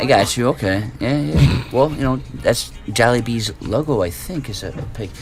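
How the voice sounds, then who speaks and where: With music in the background, a man with a Chicago accent speaks with very wide pitch swings and hardly any pauses. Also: medium pitch for a man, moderate pace. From US Midwest, Chicago. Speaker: stream co-host. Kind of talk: casual chat. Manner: calm.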